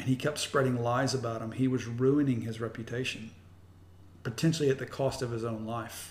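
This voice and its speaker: A man with an American accent, an ordinary speaking voice, medium pitch, fairly even intonation and a fairly quick pace. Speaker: pastor. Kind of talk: casual interview. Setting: host's home.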